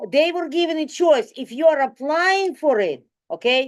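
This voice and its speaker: Fairly slow speech from a woman in a non-native accent. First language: not English. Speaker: community board committee member. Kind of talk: public meeting discussion. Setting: community board meeting, livestreamed.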